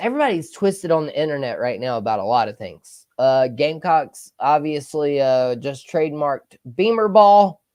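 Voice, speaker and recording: Against a quiet background, a man speaks with a Southern US accent. His pitch is fairly high and his intonation lively. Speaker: sports podcast host. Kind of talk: casual livestream talk. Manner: loud.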